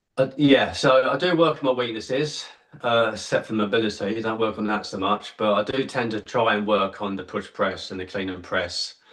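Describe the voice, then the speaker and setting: With an English accent, a man talks at a fairly quick pace and hardly pauses. His pitch is medium, and noticeable background noise is present. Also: ordinary pitch variation. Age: 50s. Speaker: kettlebell athlete. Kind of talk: casual interview.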